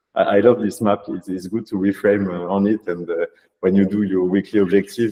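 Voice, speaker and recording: A man speaks with a French accent. His pace is fairly quick. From France. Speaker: data scientist turned AI consultancy founder. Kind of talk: workshop presentation. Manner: halting, many fillers.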